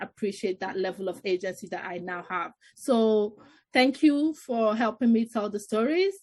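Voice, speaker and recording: A woman's somewhat breathy, fairly high voice at a moderate pace, over a quiet background. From northern Greece, Nigerian family. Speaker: artist and filmmaker. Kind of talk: online panel discussion. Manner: halting, with restarts.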